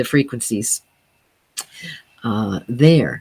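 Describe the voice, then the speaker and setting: This is a woman's voice. Her pitch varies in an ordinary way. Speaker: sound healing teacher. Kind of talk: casual talk.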